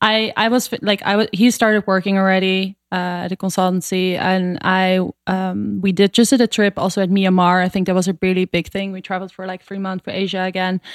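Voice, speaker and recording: On a very clean recording with a silent background, a woman with a Dutch accent talks at a fairly quick pace and medium pitch, in monotone, flat intonation with hardly any pauses. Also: dry, close sound with no echo. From Netherlands. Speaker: superfood company co-founder. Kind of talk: interview.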